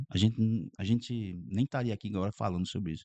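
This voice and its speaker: Here a man talks at a moderate pace in a fairly low pitch with a dark, mellow tone and ordinary pitch variation. The sound is dry and close, with no echo. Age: 60s. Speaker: pastor. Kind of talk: podcast interview.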